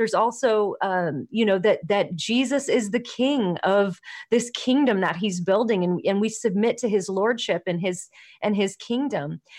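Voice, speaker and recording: A woman's fairly high voice with an American accent, an ordinary speaking voice, ordinary pitch variation, very even loudness and a quiet background. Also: moderate pace. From Los Angeles, US. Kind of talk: casual interview. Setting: video call.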